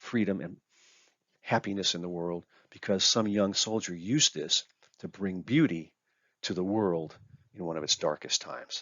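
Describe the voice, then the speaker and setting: This man has a normal speaking voice with a fairly low pitch. He keeps a moderate pace and ordinary pitch variation. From Arizona, US-Mexico border ranch. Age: 60s. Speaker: author and guitar lover. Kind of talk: presentation talk.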